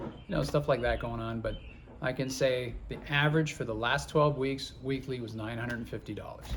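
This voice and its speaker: With ordinary pitch variation and a moderate pace, a man talks amid audible room echo. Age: 50s. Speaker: truck driver and channel co-host. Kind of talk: casual chat. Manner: halting, repeats words.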